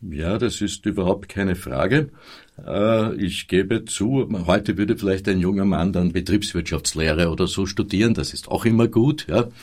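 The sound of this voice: At a moderate pace, a man with a low pitch speaks in a slightly mellow tone. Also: ordinary pitch variation.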